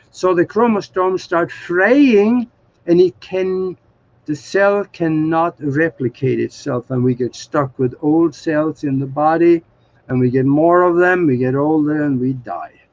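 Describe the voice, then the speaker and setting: Fairly high in pitch, a man speaks with a Norwegian accent at a fairly slow pace and ordinary pitch variation. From Norway. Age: 70s. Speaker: spiritual author. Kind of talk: interview.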